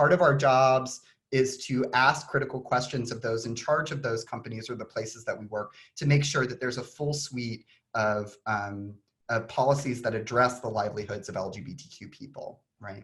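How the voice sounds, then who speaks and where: In a Texan accent, a man talks at a moderate pace and medium pitch, with ordinary pitch variation and big swings in loudness. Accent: Texan twang. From Texas (Austin). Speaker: author and design historian. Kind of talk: conference talk. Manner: many fillers (um).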